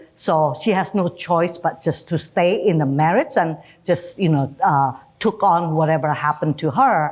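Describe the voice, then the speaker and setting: In an Indonesian accent, the speaker keeps a very even loudness, a moderate pace and ordinary pitch variation, in a very clean recording with a silent background. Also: woman, fairly low pitch for a woman. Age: 60s. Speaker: retired bank executive. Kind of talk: interview.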